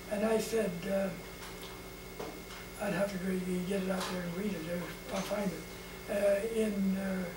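Fairly slow, fairly even speech broken by long, frequent pauses over clear background noise. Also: man, high pitch for a man.

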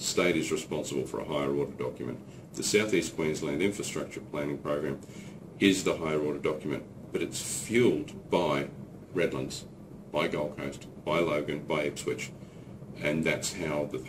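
A man speaks with a very deep, low voice. Noticeable background noise runs behind him. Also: ordinary pitch variation, moderate pace. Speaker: politician. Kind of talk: explanatory statement to camera. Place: office. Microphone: camera far.

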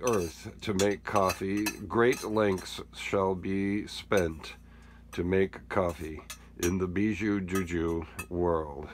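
A man talks very slowly, with ordinary pitch variation, over noticeable background noise. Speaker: camper vlogger narrating. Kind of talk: casual vlog chat. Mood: amused, laughing. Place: kitchen. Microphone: phone near.

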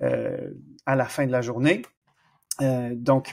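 A man with a slight Canadian French accent speaks at a very slow pace. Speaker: exercise physiologist. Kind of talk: podcast interview. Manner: animated, lively.

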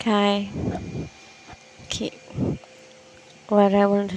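A woman with a non-native accent, amid noticeable background noise. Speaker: podcaster. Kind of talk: casual podcast monologue. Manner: slow, many pauses.

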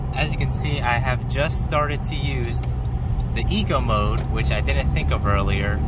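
A man's voice over loud background noise, the sound dry with no echo. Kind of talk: casual vlog chat. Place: car.

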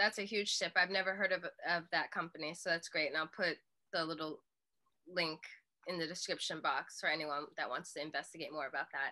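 Against a quiet background, a woman talks at a fairly quick pace with a fairly low pitch, a bright, sharp tone and fairly even intonation. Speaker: YouTube channel host. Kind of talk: casual interview. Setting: video call. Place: home room. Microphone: webcam.

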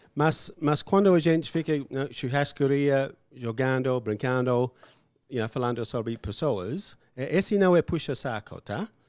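A man with an English accent speaks fairly slowly with lively intonation, over a quiet background in a dry sound with no echo. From Australia. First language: English (speaking Portuguese). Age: 50s. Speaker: English teacher, former farmer; podcast guest, English teacher. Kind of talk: casual interview chat. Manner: halting, with fillers. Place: studio. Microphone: studio mic.

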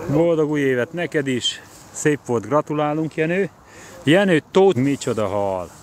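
A man's dry, echo-free voice moves at a very slow pace with lively intonation over light background noise. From Hungary. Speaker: fishing competition organizer and vlogger; vlogger. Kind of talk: live walkaround vlog. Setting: outdoors at a fishing lake. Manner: casual, chatty greetings. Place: waterside. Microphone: phone near.

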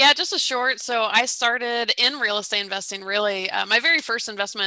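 Bright and sharp in tone, a woman speaks at a fairly quick pace with ordinary pitch variation against a quiet background and a dry sound with no echo. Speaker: guest. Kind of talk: interview answer. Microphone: headset.

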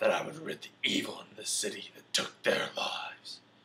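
At a moderate pace, a man puts on a raspy character voice. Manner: gravelly, menacing drawl.

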